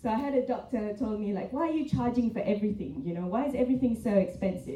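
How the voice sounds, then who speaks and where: A woman talks at a very fast pace with a fairly high pitch. Room echo is audible. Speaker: hospital executive. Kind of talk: panel presentation.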